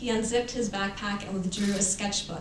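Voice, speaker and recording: Fairly quick speech from a woman at a medium pitch, amid noticeable background noise and audible room echo. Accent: American. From Los Angeles, US West Coast. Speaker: author. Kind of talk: reading aloud.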